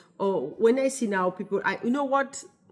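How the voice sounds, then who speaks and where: A woman with a French accent talks at a moderate pace, her intonation lively. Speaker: wellness business founder. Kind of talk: casual vlog talk to camera. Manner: halting, with many fillers.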